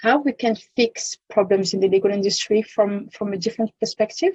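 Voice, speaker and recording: In a French accent, a woman speaks at a moderate pace, somewhat breathy with a dark, mellow tone, the sound dry and close with no echo. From France. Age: 30s. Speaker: legal tech consultant. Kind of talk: podcast interview. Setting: podcast.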